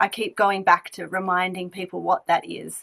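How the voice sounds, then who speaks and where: A woman's bright, sharp voice with vocal fry at a fairly quick pace in a very clean recording with a silent background. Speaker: diversity and inclusion consultant. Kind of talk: panel presentation.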